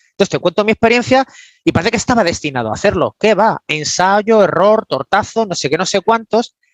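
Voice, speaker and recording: Animated and fairly quick, a man talks in a high voice with a dry, close sound with no echo. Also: lively intonation. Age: 50s. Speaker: business coach. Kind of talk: interview.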